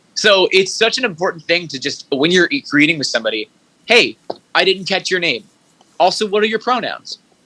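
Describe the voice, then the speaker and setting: In an American accent, a man speaks at a fairly quick pace in a raised, projected voice, with a dry, close sound and no echo. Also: lively intonation. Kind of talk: casual interview conversation. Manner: stammering; fast, tumbling.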